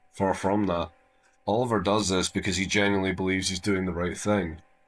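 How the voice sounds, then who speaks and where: With an Irish accent, a man speaks at very deep, low pitch with fairly even intonation. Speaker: YouTube video essayist. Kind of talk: casual outro to viewers; video essay commentary.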